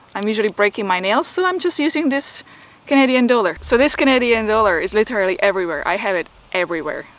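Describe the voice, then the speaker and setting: Speaking at a fairly quick pace with lively intonation, a woman with a Czech accent uses a fairly high pitch over noticeable background noise. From Czech Republic. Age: 40s. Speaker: photography and video YouTuber. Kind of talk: Q&A vlog. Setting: outdoors.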